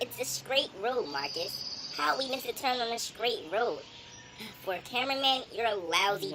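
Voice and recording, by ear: In a cartoonish character voice pitched high, a woman talks at a moderate pace over clear background noise.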